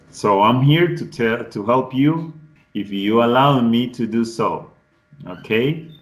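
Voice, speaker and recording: A man talks at a very slow pace in a medium pitch, with ordinary pitch variation. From Colombian Pacific coast, Cauca. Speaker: English tutor. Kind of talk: online class introduction. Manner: halting, with restarts.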